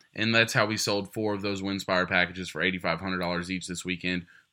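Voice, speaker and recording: A man's bright, sharp tone moves at a moderate pace on a very clean recording with a silent background. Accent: Texan. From Texas. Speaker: fundraising auctioneer. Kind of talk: interview.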